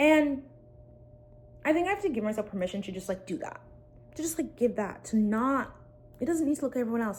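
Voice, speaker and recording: Speaking at a very fast pace with long, frequent pauses, a woman uses an animated tone and lively intonation. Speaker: content creator vlogger. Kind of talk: casual talking-head vlog.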